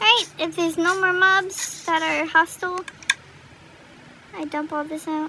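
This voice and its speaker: A woman's raised, projected voice at an extremely high pitch with ordinary pitch variation, at a fairly slow pace with long, frequent pauses, over noticeable background noise. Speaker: gaming youtuber. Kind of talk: gameplay commentary. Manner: casual, hesitant with many fillers.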